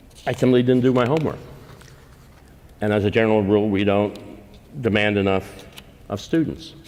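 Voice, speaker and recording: In a room with audible echo, a man with a fairly low voice speaks at a fairly quick pace with ordinary pitch variation, broken by long, frequent pauses. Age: 70s. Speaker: policy think tank founder and speaker. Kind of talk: invited lecture.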